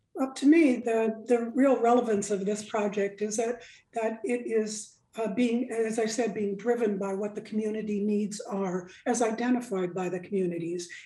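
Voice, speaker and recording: A woman speaks at a moderate pace with a fairly high pitch. Her tone is dark and mellow, and her intonation fairly even. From Alaska, Nome. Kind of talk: radio interview.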